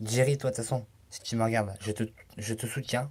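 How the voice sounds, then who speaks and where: The man's voice is somewhat breathy. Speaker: youtuber. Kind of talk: casual vlog. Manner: halting.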